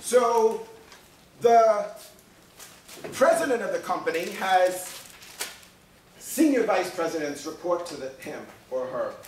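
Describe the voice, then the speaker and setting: Over noticeable background noise, a man speaks at a high pitch and a fairly slow pace, with very wide pitch swings, big swings in loudness, and long, frequent pauses. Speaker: college professor. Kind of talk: classroom lecture. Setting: classroom. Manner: joking, casual.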